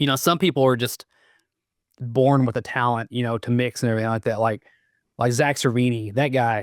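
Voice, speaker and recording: A man with a Southern US accent speaks at a moderate pace and medium pitch, his intonation fairly even, in a very clean, dry, close recording with a silent background and no echo. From US South. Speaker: metal guitarist and producer. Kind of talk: casual interview chat. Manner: halting, many fillers.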